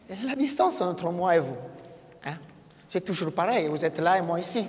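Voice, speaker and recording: Over noticeable background noise, a man with a high pitch speaks at a moderate pace with a non-native accent. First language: not French (speaking French). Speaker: event moderator. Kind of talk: live talk to audience. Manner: halting.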